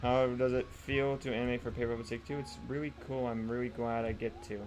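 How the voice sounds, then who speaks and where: A man talks at a very fast pace in a medium pitch, with ordinary pitch variation and music playing behind him. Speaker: streamer and animator. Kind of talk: live stream chat. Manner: stuttering and slurring words; halting.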